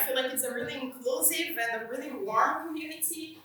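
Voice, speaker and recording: A woman speaks at a moderate pace in a high, raised, projected voice. Her intonation is lively, and there is audible room echo. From Brazil. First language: Portuguese. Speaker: software engineer, conference speaker. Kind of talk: conference talk. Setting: conference stage with audience. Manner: slightly hesitant, with fillers.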